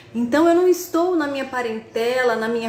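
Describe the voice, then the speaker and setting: A woman speaks with lively intonation amid audible room echo. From Brazil, interior of São Paulo state (Tupã). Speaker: spiritist speaker and university professor. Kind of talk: online lecture. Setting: video call. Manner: halting, with fillers and repetitions.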